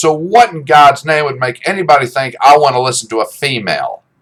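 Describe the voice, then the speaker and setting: Lively intonation runs through speech delivered at a fairly slow pace. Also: man. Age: 60s. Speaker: podcaster and YouTuber. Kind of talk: opinion rant. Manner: animated.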